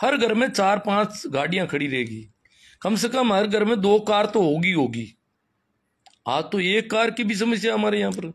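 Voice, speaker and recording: Recorded very cleanly against silence, a man talks in a high voice with lively intonation. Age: 50s. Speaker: schoolteacher and social commentator. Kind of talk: live-stream talk. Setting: Facebook live. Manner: animated.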